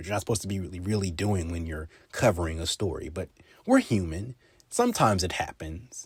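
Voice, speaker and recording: A man talks very fast at a fairly low pitch, somewhat breathy, with ordinary pitch variation. The recording is very clean with a silent background. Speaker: podcast host with broadcast/journalism training. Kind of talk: casual talk to camera, podcast monologue. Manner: conversational, explanatory.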